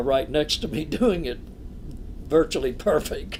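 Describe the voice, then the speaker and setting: A man speaks at a fairly high pitch with vocal fry. His pace is fairly slow. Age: 80s+. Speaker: clergyman and physician. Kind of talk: interview conversation.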